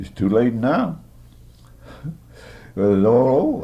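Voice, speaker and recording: With audible room echo around him, a man with an American accent speaks with lively intonation. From US South, southern Maryland. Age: 80s+. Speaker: war veteran. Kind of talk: oral history interview. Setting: care center room. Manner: halting.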